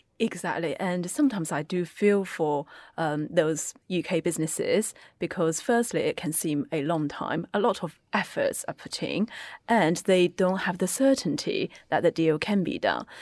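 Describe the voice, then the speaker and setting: A woman's fairly low voice with a Chinese accent, ordinary pitch variation and a moderate pace, in a very clean, dry, close recording with a silent background and no echo. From China, moved to UK at 14. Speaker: accounting firm China desk head. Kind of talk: panel discussion.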